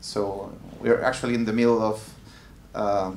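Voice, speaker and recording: Amid audible room echo, a man talks at a fairly slow pace with fairly even intonation. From Chile. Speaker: music tech entrepreneur. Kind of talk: panel discussion.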